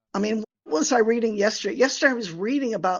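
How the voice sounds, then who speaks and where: Ordinary pitch variation runs through speech delivered with an American accent. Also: woman. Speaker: finance academic and researcher. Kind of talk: podcast interview. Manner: animated.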